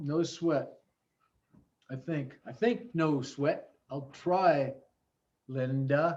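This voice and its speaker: A man with a fairly high pitch speaks at a very slow pace, somewhat breathy. His pitch variation is ordinary, and he leaves long, frequent pauses. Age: 70s. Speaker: teacher. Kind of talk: online class. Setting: video call.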